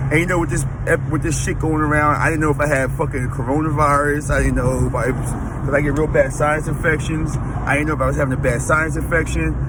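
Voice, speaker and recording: A man talking very fast, with audible room echo and noticeable background noise. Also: hardly any pauses. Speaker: fitness vlogger. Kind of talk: casual vlog. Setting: in a car. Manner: halting, self-correcting.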